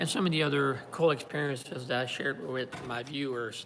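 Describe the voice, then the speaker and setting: With a slight French Canadian accent, the speech moves at a fairly quick pace with ordinary pitch variation. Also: man. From Quebec, Montreal. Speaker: YouTuber. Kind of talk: live stream talk. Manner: halting, many fillers.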